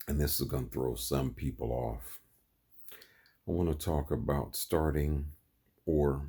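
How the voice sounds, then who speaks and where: A man with an American accent talks fairly slowly in a very deep, low, somewhat breathy voice with a dark, mellow tone, fairly even intonation, very even loudness, and long, frequent pauses. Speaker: vlogger. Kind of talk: monologue. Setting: in bed.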